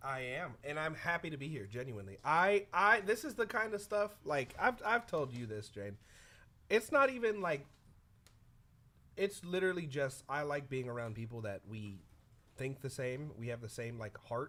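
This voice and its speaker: A loud man's voice, fairly high and bright and sharp in tone, with very wide pitch swings at a moderate pace, on a very clean recording with a silent background. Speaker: music producer and co-host. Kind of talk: casual chat.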